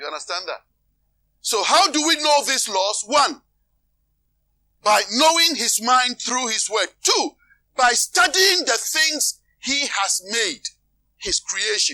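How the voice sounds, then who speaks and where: A man's extremely high voice, bright and sharp, at a very slow pace with long, frequent pauses and very wide swings in pitch. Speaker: preacher. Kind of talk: sermon. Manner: calm, not emotional.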